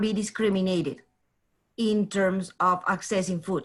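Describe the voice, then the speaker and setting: The woman's somewhat breathy voice moves at a fairly slow pace. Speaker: community food security project manager. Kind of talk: webinar presentation. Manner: halting, many fillers and restarts.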